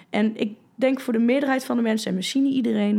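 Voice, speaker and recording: A woman speaks at a very fast pace in a dark, mellow tone. Her fairly high voice is somewhat breathy. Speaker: fitness coach and former bodybuilder. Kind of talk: casual chat. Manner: animated.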